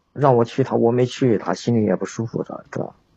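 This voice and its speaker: A man speaks in a somewhat breathy voice. His pitch is medium, with ordinary pitch variation. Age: 30s. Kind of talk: phone-in advice call. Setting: livestream voice link-up.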